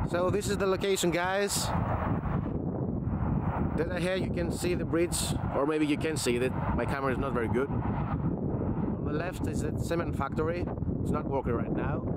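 Long, frequent pauses at a moderate pace, with loud background noise and a dry sound with no echo. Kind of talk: casual vlog chat. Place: open country. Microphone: phone near.

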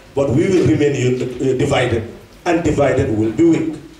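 There is light background noise and audible room echo as a man speaks at a moderate pace. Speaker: politician addressing diaspora. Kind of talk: political speech. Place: hall.

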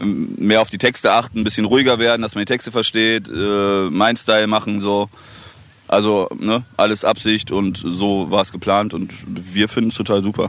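A man speaks at a moderate pace with fairly even intonation. His pitch is fairly low, and the sound is dry with no echo. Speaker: rapper. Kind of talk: casual interview. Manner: giggly. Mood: relaxed, joking. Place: waterside. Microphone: handheld.

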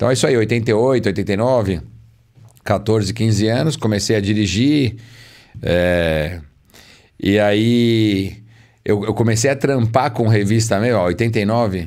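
Speaking at a very slow pace with long, frequent pauses, a man uses a fairly low pitch and ordinary pitch variation. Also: very even loudness, quiet background. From Brazil. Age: 40s. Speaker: car magazine journalist. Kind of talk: casual chat. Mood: relaxed, storytelling. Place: studio. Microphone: studio mic.

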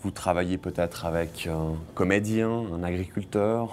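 A man's very deep, low voice with a dark, mellow tone over light background noise. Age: 30s. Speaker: photographer. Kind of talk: interview; interview answer. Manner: halting, with frequent repetitions. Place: studio.

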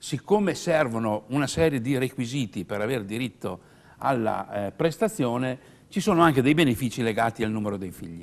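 Here a man talks at a moderate pace. His pitch swings very widely. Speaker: pension adviser. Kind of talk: explanatory advice on live TV. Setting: TV studio. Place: studio. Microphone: lapel.

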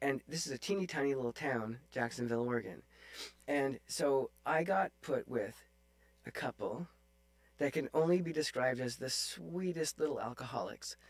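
A man with a fairly high pitch speaks at a moderate speed. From Northern Ontario, Canada (Sudbury); Ontario. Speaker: oboe player; podcast guest. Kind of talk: casual interview chat. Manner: hesitant with many fillers. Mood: relaxed, storytelling. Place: home room. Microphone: studio mic.

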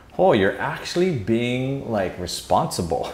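The man talks at a moderate pace while audible room echo trails his voice. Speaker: channel host. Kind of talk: casual vlog chat. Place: home room.

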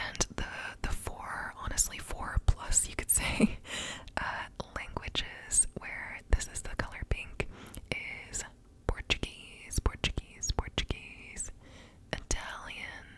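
A woman whispering at a very slow pace, with long, frequent pauses. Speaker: ASMR creator. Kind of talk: soft ASMR word repetition and explanation. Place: home room. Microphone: studio mic.

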